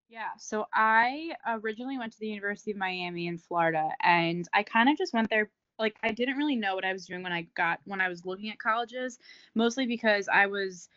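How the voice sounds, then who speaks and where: Speaking at a fairly quick pace with an American accent, a woman uses a plain, everyday voice, fairly high in pitch with ordinary pitch variation. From New Jersey. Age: 20s. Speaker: fitness coach and entrepreneur. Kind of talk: casual chat.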